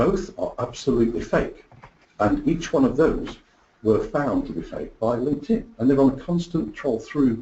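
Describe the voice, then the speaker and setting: Speaking in an English accent, the man keeps a moderate pace. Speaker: product marketing executive. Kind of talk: webinar presentation. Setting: online webinar.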